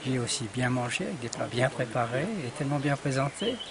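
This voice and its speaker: A man talking at a moderate pace over noticeable background noise. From France and Switzerland. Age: 60s. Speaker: workshop participant. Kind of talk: testimony.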